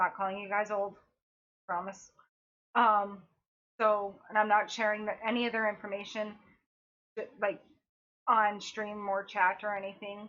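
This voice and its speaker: A woman speaks at a moderate pace in a monotone, flat voice. She leaves long, frequent pauses. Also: medium pitch for a woman. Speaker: cancer patient vlogger. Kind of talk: personal vlog update. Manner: halting, self-correcting.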